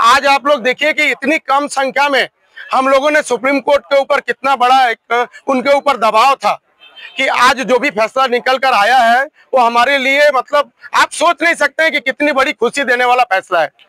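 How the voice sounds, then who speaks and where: A man's raised, projected voice, extremely high in pitch, fairly slow and fairly even in intonation, with a dry, close sound and no echo. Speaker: protest leader of investors. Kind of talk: rally speech.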